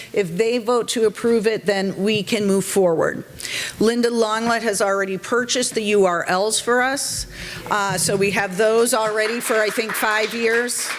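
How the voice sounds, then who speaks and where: Over noticeable background noise, a woman with a Boston accent keeps her loudness very even and her intonation fairly even. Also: moderate pace. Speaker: civic organization board member. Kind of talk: meeting presentation.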